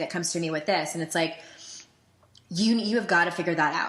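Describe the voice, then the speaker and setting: Noticeable background noise sits behind a woman's fairly low voice. Her pitch varies in an ordinary way. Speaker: life coach and podcast host. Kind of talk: podcast conversation.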